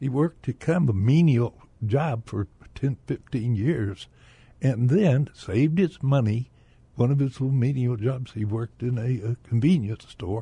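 Moderate pace from a man with an American accent, medium in pitch with ordinary variation, somewhat breathy and dark, mellow in tone, in a dry, close sound with no echo. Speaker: retired businessman, bank director. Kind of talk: radio interview. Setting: radio studio.

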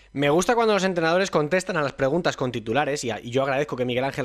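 A man talks at a very fast pace in a fairly high voice. His intonation is lively. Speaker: football radio show host. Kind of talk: sports talk show.

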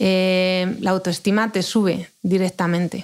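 A woman at a medium pitch with ordinary pitch variation, on a very clean recording with a silent background. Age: 40s. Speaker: mother of gifted children. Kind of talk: interview. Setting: studio.

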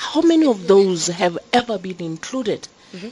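Noticeable background noise sits behind a woman talking at a moderate pace. Her pitch swings very widely. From Lesotho. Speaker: government deputy minister. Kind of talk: panel discussion. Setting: conference venue, live broadcast. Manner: hesitant, with frequent hums.

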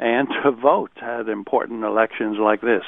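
An unremarkable speaking voice with an American accent. The pace is moderate. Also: man. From United States. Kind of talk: radio interview.

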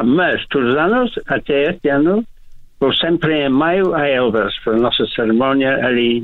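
A man speaks with an English accent at a fairly slow pace. His intonation is lively. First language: English (speaking Portuguese). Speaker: heritage association president. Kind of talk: radio interview. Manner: halting.

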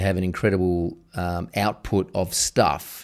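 In a very clean recording with a silent background, a man with an Australian accent talks in a fairly low pitch. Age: 40s. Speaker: podcast host. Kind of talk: interview conversation.

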